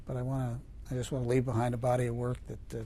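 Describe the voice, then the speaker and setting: With an American accent, a man talks in a space with audible room echo. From New York state, small town. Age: 70s. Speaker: federal appeals judge. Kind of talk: interview. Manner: halting.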